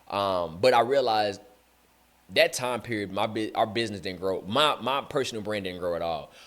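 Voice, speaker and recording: This man's pitch sits fairly low. It moves up and down in an ordinary way. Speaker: podcast host. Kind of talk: casual podcast monologue. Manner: fast; energetic, conversational.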